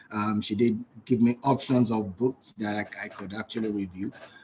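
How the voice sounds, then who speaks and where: Against noticeable background noise, a man with a fairly low pitch talks at a moderate pace with fairly even intonation. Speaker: pastor and book reviewer. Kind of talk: book review talk. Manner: soft-spoken; halting, repeats words.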